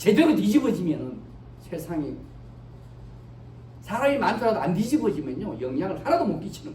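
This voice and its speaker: Fairly quick speech with noticeable background noise. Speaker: pastor. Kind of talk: sermon. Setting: church. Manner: code-switching between Korean and English.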